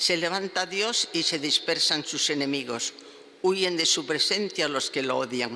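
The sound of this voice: With faint background noise behind her, a woman with a low pitch and a bright, sharp tone speaks at a fairly slow pace with ordinary pitch variation.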